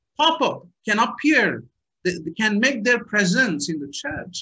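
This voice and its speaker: A man uses a raised, projected voice with a bright, sharp tone. His pitch swings very widely. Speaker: pastor. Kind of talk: sermon. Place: home room. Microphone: webcam.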